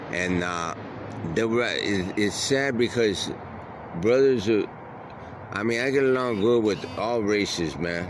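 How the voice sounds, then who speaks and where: A man with an American accent at a medium pitch, fairly slow with long, frequent pauses and ordinary pitch variation, amid noticeable background noise and audible room echo. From Detroit. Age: 60s. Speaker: unhoused man interviewed. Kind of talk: casual interview.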